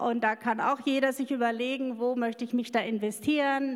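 A woman talks at a fairly quick pace. Noticeable background noise runs beneath her voice. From rural Germany, farm background. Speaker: missionary. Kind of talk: interview testimony. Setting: church service with congregation. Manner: halting.

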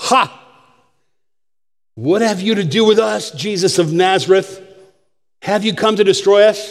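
Putting on a shrill character voice, a man speaks loudly at a high pitch and a moderate pace, leaving long, frequent pauses. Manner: loud, shrieking.

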